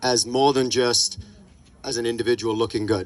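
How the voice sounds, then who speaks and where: An American accent marks this man's speech. He talks at a fairly slow pace and medium pitch. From England, then Orange County from age fifteen. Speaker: restaurant owner. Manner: casual, many filler words.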